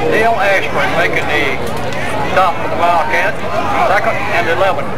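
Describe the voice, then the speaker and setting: With crowd noise in the background, a man talks at a moderate pace. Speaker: stadium announcer. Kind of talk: play-by-play commentary. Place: stadium.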